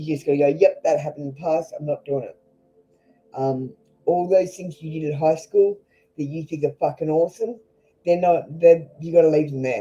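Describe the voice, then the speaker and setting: Music plays behind a speaker with an Australian accent. The delivery is fairly quick, broken by long, frequent pauses. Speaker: tarot reader. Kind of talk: live tarot reading stream. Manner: blunt, casual.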